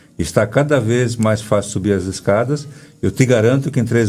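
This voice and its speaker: A man's dark, mellow voice at medium pitch, with ordinary pitch variation and a fairly quick pace. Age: 60s. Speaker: breathwork therapist. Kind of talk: interview. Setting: radio studio, filmed for live video.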